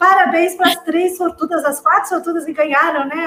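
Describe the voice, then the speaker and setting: Noticeable background noise fills the recording. Through it, a woman speaks. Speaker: career advisor and retail association director. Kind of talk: closing remarks at online panel. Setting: live online event.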